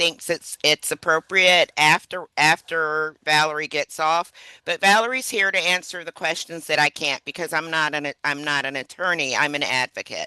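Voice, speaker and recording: A woman with a normal speaking voice talks at a fairly low pitch and fairly slow pace, her intonation fairly even. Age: 60s. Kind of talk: webinar presentation.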